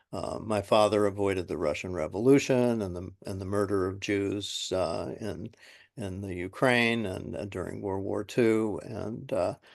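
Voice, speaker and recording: A man's fairly slow, fairly low-pitched speech with a Californian accent, ordinary pitch variation and a quiet background. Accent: General American (Californian). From San Francisco, US West Coast. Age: 70s. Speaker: retired school psychologist. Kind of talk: oral history interview. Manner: halting, many fillers.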